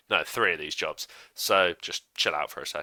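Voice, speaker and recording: A man with a British accent shouts while music plays in the background. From Britain. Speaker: YouTuber. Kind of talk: casual rant to camera. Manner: energetic, shouting.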